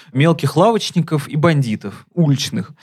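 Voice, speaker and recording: A man speaks in a fairly high pitch, his voice somewhat breathy. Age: 20s. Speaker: film critic podcast co-host. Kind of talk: casual chat.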